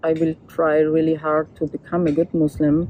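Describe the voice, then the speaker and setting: A woman with a very deep, low pitch and a German accent. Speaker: photographer and documentary artist. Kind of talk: interview testimony. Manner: halting.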